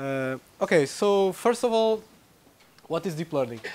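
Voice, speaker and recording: With a Portuguese accent, a man talks at a moderate pace. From Portugal. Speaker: researcher giving a tutorial. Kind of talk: lecture. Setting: lecture room with audience. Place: classroom.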